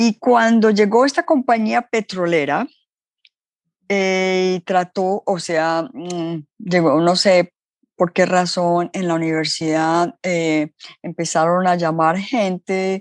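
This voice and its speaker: Very slowly, a woman at medium pitch speaks with ordinary pitch variation in a dry, close sound with no echo. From Colombia. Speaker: entrepreneur. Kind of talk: interview storytelling.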